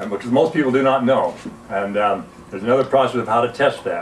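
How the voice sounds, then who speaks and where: A man speaks with a Western US accent. Noticeable background noise runs under his voice. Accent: American Western. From US, Utah (Salt Lake City). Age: 70s. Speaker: alkalinity health educator, Navy veteran. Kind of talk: informal health talk / product demonstration.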